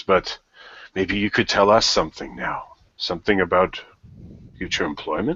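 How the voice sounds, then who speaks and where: A man's put-on character voice at a fairly low pitch, moving at a moderate pace with long, frequent pauses. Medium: actual play. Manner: polite, formal.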